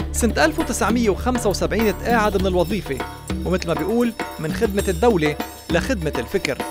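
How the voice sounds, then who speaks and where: The speaker has a Lebanese accent. Music plays in the background. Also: fairly quick pace. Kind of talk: documentary biography narration.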